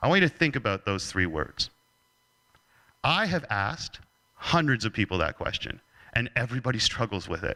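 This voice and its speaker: With a Canadian accent and a bright, sharp tone, a man speaks fairly quickly at medium pitch with very wide pitch swings and long, frequent pauses, the sound dry and close with no echo. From Canada. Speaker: leadership speaker. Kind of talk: keynote talk.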